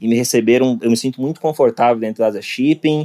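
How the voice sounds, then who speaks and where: Dark, mellow tone with fairly even intonation. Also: man. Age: 30s. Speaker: IT project manager. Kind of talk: casual interview chat.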